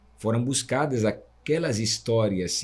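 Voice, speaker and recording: At a very slow pace, a man with a medium-pitched, somewhat breathy voice speaks with ordinary pitch variation. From Italy. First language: Italian (speaking Portuguese). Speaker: guaraná producer, association vice-president. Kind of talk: interview podcast conversation.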